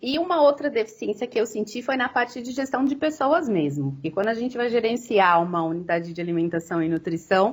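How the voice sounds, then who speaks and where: Pitch rises and falls across a very wide range. The recording itself is very clean, and the background is completely silent. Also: woman. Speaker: nutritionist and business consultant. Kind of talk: lecture. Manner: halting, many fillers.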